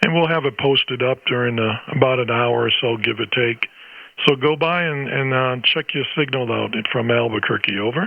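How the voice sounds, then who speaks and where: The speaker has an unremarkable speaking voice, a moderate pace, and ordinary pitch variation. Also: man, medium pitch for a man. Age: 60s. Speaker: ham radio operator, retired band teacher. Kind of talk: ham radio conversation. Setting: amateur radio transmission.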